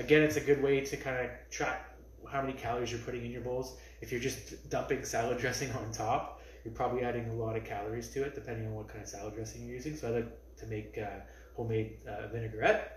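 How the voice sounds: The speech moves at a fast pace with little pitch movement, and room echo is audible. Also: man, medium pitch for a man.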